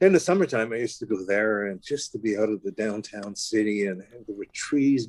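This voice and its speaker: With noticeable background noise, a man speaks at a fairly quick pace. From Quebec, Montreal. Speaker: jazz pianist and composer. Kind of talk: interview. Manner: halting.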